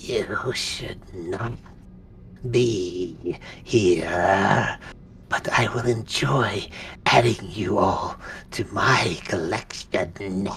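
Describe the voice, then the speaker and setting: Raspy and low-pitched, this put-on character voice moves at a very slow pace with long, frequent pauses over clear background noise. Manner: menacing.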